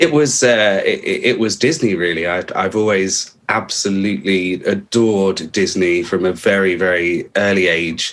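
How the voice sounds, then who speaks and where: A man with a southern English accent speaks at a fairly low pitch with ordinary pitch variation. His pace is fairly slow, with hardly any pauses. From Hampshire, England. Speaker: actor and puppeteer. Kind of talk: interview answer.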